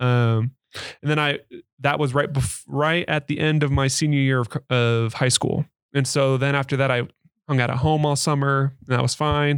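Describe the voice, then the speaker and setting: A man with an unremarkable speaking voice talks at a fairly high pitch, moderate pace and fairly even intonation. The sound is dry and close, with no echo. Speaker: returned missionary. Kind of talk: casual interview.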